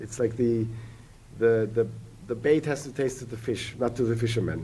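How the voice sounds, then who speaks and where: A man speaks with a non-native accent at medium pitch, his tone dark and mellow. His intonation stays fairly even at a moderate pace. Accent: non-native accent when speaking Finnish. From Germany. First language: German. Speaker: economist and entrepreneur. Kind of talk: podcast interview. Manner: halting, repeats words.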